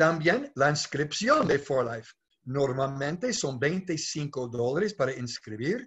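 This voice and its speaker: Against a quiet background, a man with a fairly high pitch talks at a very slow pace. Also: ordinary pitch variation. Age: 60s. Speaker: network marketing leader; presenter. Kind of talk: sales pitch. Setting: video call. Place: home room. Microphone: webcam.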